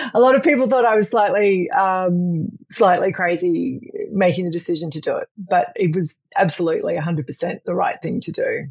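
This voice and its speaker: A woman speaks at a moderate pace with lively intonation. Her voice is somewhat breathy and medium in pitch. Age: 50s. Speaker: senior executive on career sabbatical. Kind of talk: interview. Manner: halting, many fillers.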